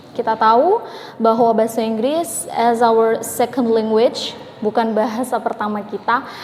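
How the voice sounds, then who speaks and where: Amid noticeable background noise, a woman speaks at a moderate pace and a fairly high pitch, with fairly even intonation and very even loudness. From Indonesia. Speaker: English-learning YouTuber. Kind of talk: casual tutorial vlog.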